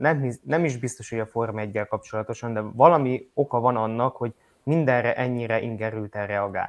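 At a fairly quick pace, a man talks in a plain, everyday voice of medium pitch with ordinary pitch variation. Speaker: motorsport podcast co-host. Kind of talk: casual news roundup chat.

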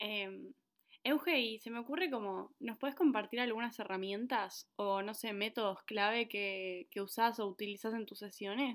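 Speaking at a moderate pace in a Rioplatense accent, the voice shows ordinary pitch variation. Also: woman, fairly high pitch for a woman. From Argentina. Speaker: podcast host. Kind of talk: podcast interview.

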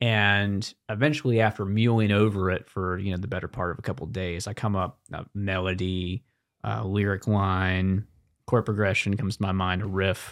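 In a very clean recording with a silent background, a man with an unremarkable speaking voice talks at a moderate pace, fairly low in pitch and fairly even in intonation. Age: 20s. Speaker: singer-songwriter. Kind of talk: casual chat. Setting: studio.

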